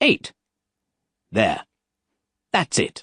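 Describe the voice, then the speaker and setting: A man's put-on character voice, extremely high in pitch. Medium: read story.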